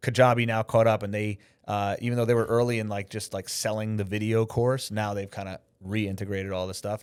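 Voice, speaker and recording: In an American accent, a man speaks at a fairly quick pace with fairly even intonation and a fairly low pitch. His is an unremarkable speaking voice, on a very clean recording with a silent background. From New York. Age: 40s. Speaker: filmmaker and live broadcast director. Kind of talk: podcast interview. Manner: casual, filler-heavy.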